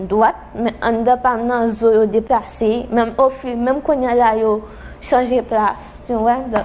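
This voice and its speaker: Over noticeable background noise, a woman speaks in a high pitch at a fairly slow pace with fairly even intonation. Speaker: accident victim. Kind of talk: testimony.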